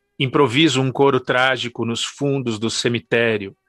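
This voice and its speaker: Music plays in the background while the voice sounds dry and close, with no echo. The pitch varies in an ordinary way, and the pace is fairly slow. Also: man. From Brazil, São Paulo. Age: 40s. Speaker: poet and professor. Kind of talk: poetry reading.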